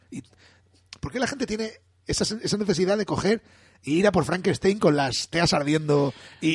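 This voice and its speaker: Somewhat breathy, a man speaks at a fairly quick pace with lively intonation. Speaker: podcast co-host. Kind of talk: casual chat.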